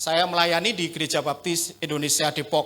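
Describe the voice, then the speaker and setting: Speaking at a moderate pace, a man with a strong Javanese accent uses a high pitch and a bright, sharp tone. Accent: thick Javanese. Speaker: pastor. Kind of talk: sermon. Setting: church.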